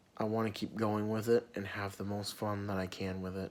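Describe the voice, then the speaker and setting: Soft-spoken and fairly low-pitched, a man talks at a moderate pace in a monotone, flat delivery. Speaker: vlogger. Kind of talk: personal vlog rant. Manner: quiet, soft-spoken; sometimes gets loud.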